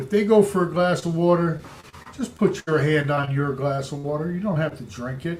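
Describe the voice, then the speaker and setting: Speaking at a moderate pace in an ordinary speaking voice, a man with a fairly high pitch has lively intonation. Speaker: real estate coach. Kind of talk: training talk.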